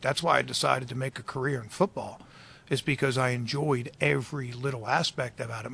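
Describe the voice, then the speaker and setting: A normal speaking voice in an American accent. It moves at a fairly quick pace with fairly even intonation. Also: man. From Baltimore, US. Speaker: football defensive coordinator. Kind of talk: interview.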